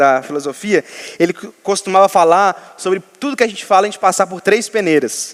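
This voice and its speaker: A man speaks with high pitch and ordinary pitch variation. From Minas Gerais, Brazil. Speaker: pastor. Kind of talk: sermon.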